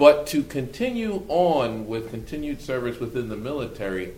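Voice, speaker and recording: There is audible room echo as a man with an American accent speaks at a fairly slow pace. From Brooklyn, New York. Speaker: army officer. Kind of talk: panel discussion.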